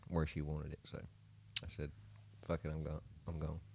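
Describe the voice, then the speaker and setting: The voice has a dark, mellow tone and a Southern US accent, moving at a fairly slow pace. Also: man. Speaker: podcast co-host. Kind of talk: casual, profane.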